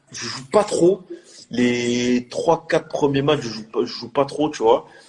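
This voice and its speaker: The man's pitch varies in an ordinary way. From France, Marseille. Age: 20s. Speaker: professional footballer. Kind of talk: casual interview chat.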